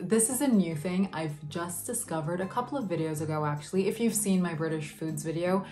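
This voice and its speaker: A woman with an American accent and a fairly low pitch speaks at a fairly quick pace in an upbeat tone. Faint music plays in the background. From Vienna, Austria. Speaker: YouTuber. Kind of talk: casual talk to camera. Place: home room.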